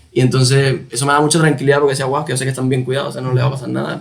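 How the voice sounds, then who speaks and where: This man has a Cuban accent and a fairly high pitch. Noticeable background noise runs behind him. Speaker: musician. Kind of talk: interview answer.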